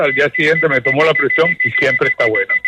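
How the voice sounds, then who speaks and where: A man's fairly quick speech, dry and close with no echo, over noticeable background noise. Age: 80s+. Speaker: caller. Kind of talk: call-in question. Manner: halting.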